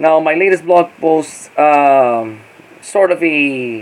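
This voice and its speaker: Over light background noise, a man talks at a fairly high pitch with ordinary pitch variation. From Philippines. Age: 40s. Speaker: YouTuber and blogger; vlogger. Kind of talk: casual vlog monologue. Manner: halting, many fillers and repeats. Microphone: phone near.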